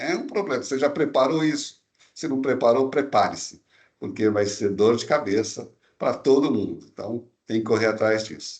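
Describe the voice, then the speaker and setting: Using a normal speaking voice, a man speaks at a medium pitch and a moderate pace, his pitch varying in an ordinary way. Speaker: tax law expert presenter. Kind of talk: webinar presentation. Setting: online webinar. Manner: casual, conversational.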